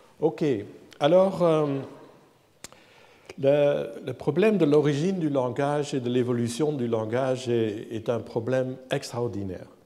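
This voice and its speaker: Speech comes at a very slow pace with long, frequent pauses, amid audible room echo and noticeable background noise. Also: man, fairly high pitch for a man, ordinary pitch variation. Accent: non-native. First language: not French (speaking French). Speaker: professor, AI researcher. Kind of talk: lecture. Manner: halting, repeats words.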